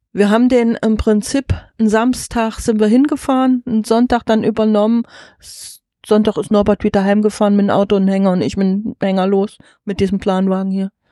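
Against a quiet background with a dry, close sound and no echo, a woman with a dark, mellow tone speaks at a fairly high pitch and a fairly quick pace, her intonation fairly even. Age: 50s. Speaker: farmer and wagon traveller. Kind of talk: interview. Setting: inside a covered horse wagon.

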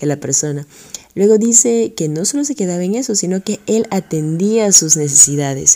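With a Peruvian accent, a woman speaks at a moderate pace in a fairly low pitch, her voice making very wide pitch swings. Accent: Peruvian Spanish (Lima). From Peru (Lima). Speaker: radio host and teacher. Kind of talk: religious radio program.

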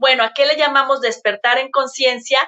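This is a woman speaking. Her pitch is high. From Mexico, Guadalajara. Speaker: emotional coach and semiotics consultant. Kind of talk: casual chat. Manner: animated.

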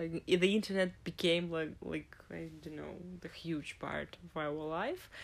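Speaking at a fairly slow pace, a woman with a Russian accent lets her loudness swing widely. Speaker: podcast co-host. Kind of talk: casual chat. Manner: halting.

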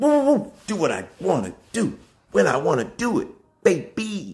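An American accent marks this man's animated tone, which carries vocal fry. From Alabama, US South. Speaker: spiritual motivational video host. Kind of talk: motivational monologue.

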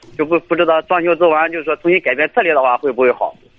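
A man with a high pitch talks at a very fast pace. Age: 20s. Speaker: caller, migrant worker. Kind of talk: call-in advice. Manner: hesitant, many fillers.

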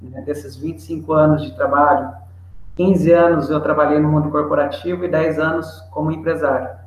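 Fairly high male voice with lively intonation at a moderate pace, plus audible room echo and noticeable background noise. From Brazil, interior of São Paulo state. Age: 40s. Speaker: trading company partner, tax and import expert. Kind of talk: webinar expert explanation. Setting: online webinar.

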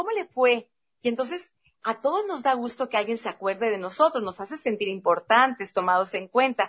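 A woman's high voice, lively in intonation, proceeds at a moderate pace. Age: 50s. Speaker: podcast host. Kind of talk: casual chat.

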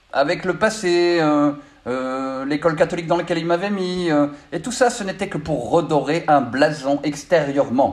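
A man with a high pitch at a fairly slow pace. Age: 50s. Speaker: spiritual coach. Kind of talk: spiritual monologue. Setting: studio. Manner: halting, many filler sounds.

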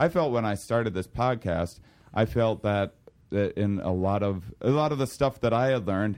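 A man's intonation is lively and his pace moderate, in a normal speaking voice. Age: 30s. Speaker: podcast host and comedian. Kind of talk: podcast intro and promo; casual interview. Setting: in person at a university.

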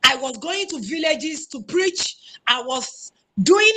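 Speaking in a Nigerian accent, a woman uses a raised, projected voice with a bright, sharp tone, high pitch, lively intonation and a fairly slow pace. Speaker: spiritual guest speaker. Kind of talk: panel discussion.

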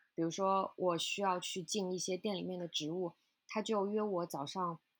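A woman speaks in an ordinary speaking voice at medium pitch, keeping a moderate pace and fairly even intonation. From China. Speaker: flower shop owner. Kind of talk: interview conversation.

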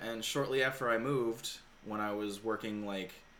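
A plain, everyday voice moves at a moderate pace. The intonation is fairly even. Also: man. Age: 30s. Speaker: podcast host. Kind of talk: casual chat.

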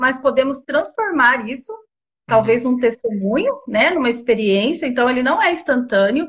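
Her high pitch and lively intonation mark this woman's voice. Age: 40s. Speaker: marriage therapist. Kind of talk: interview on a live stream.

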